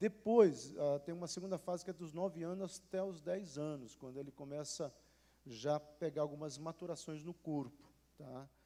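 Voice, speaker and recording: A man speaks with a fairly high pitch and a dark, mellow tone. His pitch variation is ordinary. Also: moderate pace. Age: 60s. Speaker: pastor. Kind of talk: panel discussion. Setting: church. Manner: animated.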